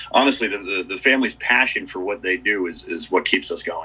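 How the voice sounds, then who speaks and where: A man's voice in an American accent, with noticeable background noise. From US Northeast, Dutchess County, New York. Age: 40s. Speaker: ski area manager. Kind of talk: casual interview. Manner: halting, many fillers.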